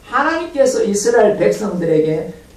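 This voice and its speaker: A man speaks fairly slowly in a high voice, animated and with very wide pitch swings. Noticeable background noise and audible room echo fill the recording. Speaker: pastor. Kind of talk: sermon.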